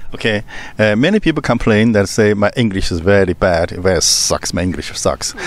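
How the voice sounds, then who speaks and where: Over noticeable background noise, the voice moves at a moderate pace with ordinary pitch variation. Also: man, fairly low pitch for a man. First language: Chinese. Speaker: channel host. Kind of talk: casual chat. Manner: halting.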